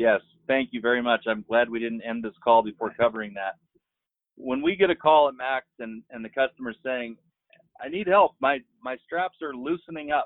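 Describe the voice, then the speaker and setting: Speaking in a normal speaking voice with an American accent, a man keeps a medium pitch, ordinary pitch variation and a moderate pace, with big swings in loudness. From Marshall Islands, then US from 15. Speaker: business founder. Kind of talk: casual interview.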